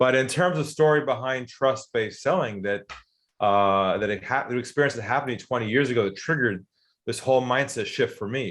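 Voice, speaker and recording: A man with an American accent and a medium pitch talks fairly quickly in a plain, everyday voice with ordinary pitch variation against a quiet background. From US, California. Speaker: sales author and consultant. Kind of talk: interview storytelling.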